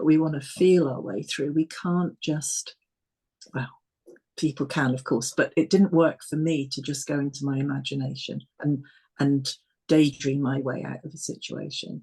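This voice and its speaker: A woman speaks at a moderate pace in a very deep, low pitch with a dark, mellow tone and a somewhat breathy quality. Her intonation is fairly even, and the background is quiet. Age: 60s. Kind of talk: casual conversation.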